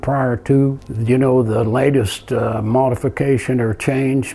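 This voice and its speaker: A man speaks at a fairly slow pace and a medium pitch, with noticeable background noise behind him. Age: 80s+. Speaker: tower manufacturer and contractor. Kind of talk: interview testimony.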